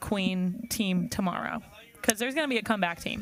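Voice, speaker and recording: A woman talks with lively intonation at a moderate pace. There is noticeable background noise behind her. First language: not English. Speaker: sailing commentator. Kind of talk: live sports commentary. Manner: casual, conversational.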